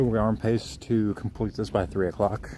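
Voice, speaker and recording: A quiet man's voice with a dark, mellow tone. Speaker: outdoor vlogger, wildlife photographer. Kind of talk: live-stream walking commentary. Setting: outdoors on a trail. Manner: quiet, kept low; casual, filler-heavy.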